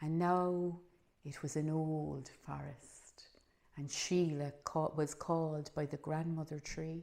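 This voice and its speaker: In a Cork accent, a woman with a very deep, low pitch and a dark, mellow tone speaks at a very slow pace in a monotone, flat way. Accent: Irish, Cork. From Ireland. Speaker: storyteller. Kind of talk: oral storytelling.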